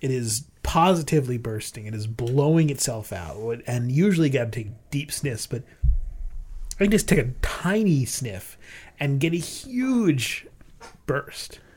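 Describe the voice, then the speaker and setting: A man's somewhat breathy, fairly high-pitched voice at a fairly slow pace, with lively intonation, in a very clean recording with a silent background. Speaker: beer podcast host. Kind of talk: casual chat, beer tasting.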